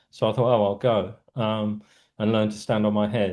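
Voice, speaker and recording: Fairly low-pitched man with a South London accent, dark and mellow in tone, monotone and flat, at a fairly quick pace against a quiet background. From South London, England. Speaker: writer and cultural critic. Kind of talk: interview conversation. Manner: little mouth movement, stone-faced delivery; hesitant, many fillers.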